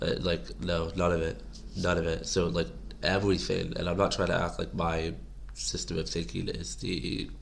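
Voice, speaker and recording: A man with a very deep, low pitch and vocal fry talks at a moderate pace with lively intonation, and the room echo is audible. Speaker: political commentary vlogger. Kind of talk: casual monologue to camera. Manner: rambling, halting.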